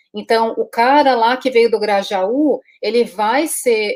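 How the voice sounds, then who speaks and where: This woman speaks at a high pitch. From Latin America (Brazil). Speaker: interviewer, business coach. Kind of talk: interview.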